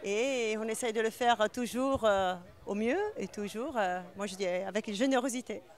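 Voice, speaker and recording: Ordinary pitch variation comes through as the words unfold at a fairly slow pace. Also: woman, fairly high pitch for a woman. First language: not French (speaking French). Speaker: winemaker and business owner. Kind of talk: interview. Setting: awards event. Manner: hesitant, many fillers.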